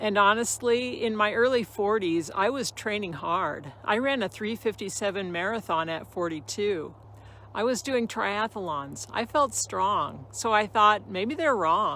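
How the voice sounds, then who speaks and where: A woman speaks in a plain, everyday voice at medium pitch with lively intonation. Her pace is fairly slow. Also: very clean recording, silent background. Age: 60s. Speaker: fitness storyteller, Ironman finisher. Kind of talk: personal testimony monologue. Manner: earnest, motivational.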